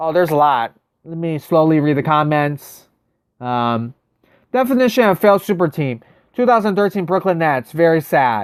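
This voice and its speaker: At a moderate pace, the speech comes through on a very clean recording with a silent background. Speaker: gaming live streamer. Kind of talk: live stream chat. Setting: live stream. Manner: hesitant, many fillers.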